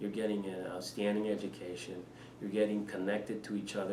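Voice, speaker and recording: A man with a Spanish accent talks at a fairly quick pace and fairly low pitch, with audible room echo and noticeable background noise. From Panama. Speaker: head of school. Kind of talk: interview. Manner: hesitant, many fillers.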